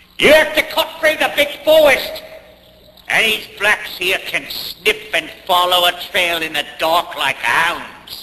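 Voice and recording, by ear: A man speaks slowly in a put-on character voice with a high pitch and a bright, sharp tone. His intonation is lively.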